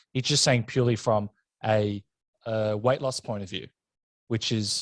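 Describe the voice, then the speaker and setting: Medium-pitched male speech with an Australian accent at a moderate pace, in a dry, close sound with no echo, on a very clean recording with a silent background. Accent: thick Australian. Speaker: podcast host. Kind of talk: casual chat. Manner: animated.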